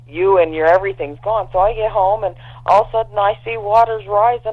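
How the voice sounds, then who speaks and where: An unremarkable speaking voice from a woman, medium in pitch, with lively intonation and a fairly quick pace. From Canada. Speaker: prepping guest. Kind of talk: casual chat.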